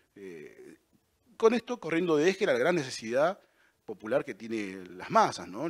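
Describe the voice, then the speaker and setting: Against a quiet background, a man's voice makes very wide swings in pitch. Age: 40s. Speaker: political candidate, construction worker; candidate. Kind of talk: campaign statement. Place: studio. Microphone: handheld.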